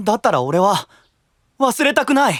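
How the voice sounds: A man does a cartoonish character voice, high-pitched and fairly bright in tone, with big pitch swings at a moderate pace.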